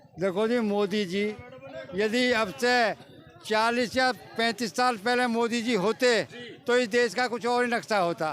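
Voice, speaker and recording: With music in the background, a man speaks in an extremely high pitch with ordinary pitch variation. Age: 70s. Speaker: member of the public interviewed on the street. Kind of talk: vox pop interview.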